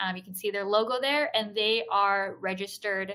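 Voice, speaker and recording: A woman speaks at a moderate pace and a medium pitch in a bright, sharp tone, with ordinary pitch variation. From Hong Kong. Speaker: startup program host. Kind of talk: webinar Q&A.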